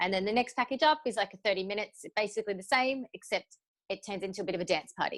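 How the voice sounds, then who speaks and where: A voice in an Australian accent comes through with a dry, close sound, no echo, and a very clean recording with a silent background. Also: woman. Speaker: cabaret performer. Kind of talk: interview answer.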